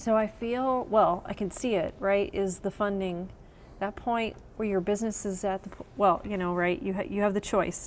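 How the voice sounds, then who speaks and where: This is a woman with a normal speaking voice at medium pitch. Her intonation is fairly even and her pace moderate. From Texas. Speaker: writer and business founder. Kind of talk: interview. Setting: on location in a coworking space.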